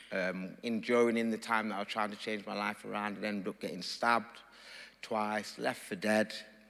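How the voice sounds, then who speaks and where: A man with an East Midlands accent speaks at a fairly low pitch and moderate pace. His tone is bright and sharp, with monotone, flat intonation. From Nottingham, England. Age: 40s. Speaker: father from a dads group. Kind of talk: personal testimony.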